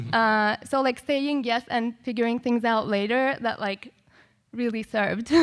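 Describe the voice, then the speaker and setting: A woman with a non-native accent speaks at a fairly slow pace and a fairly high pitch. Her intonation is fairly even, on a very clean recording with a silent background. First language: not English. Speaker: composer and music educator. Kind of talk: panel discussion. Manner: casual, many filler words.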